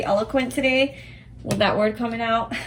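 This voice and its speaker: A woman talks at a fairly quick pace with fairly even intonation. Noticeable background noise runs underneath. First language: not English. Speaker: tarot reader. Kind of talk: tarot reading to camera. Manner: halting, searching for words; casual, conversational.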